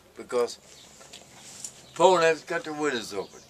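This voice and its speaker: Noticeable background noise sits under a man speaking at a fairly high pitch. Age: 70s. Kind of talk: casual chat.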